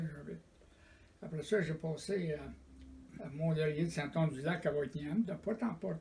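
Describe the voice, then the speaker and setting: A man speaks at a fairly slow pace in a fairly high voice, his tone dark and mellow and somewhat breathy. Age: 90s. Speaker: retired door-to-door salesman. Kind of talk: oral history interview.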